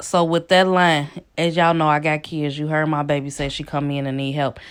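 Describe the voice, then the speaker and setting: A woman speaks at a moderate pace in a very deep, low voice. The recording is very clean, with a silent background. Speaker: nail technician. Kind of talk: tutorial.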